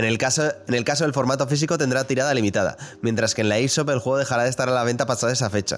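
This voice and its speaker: Speaking at a very fast pace, a man keeps his loudness very even. His pitch is medium and his intonation fairly even. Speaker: video game podcast host. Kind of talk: casual chat.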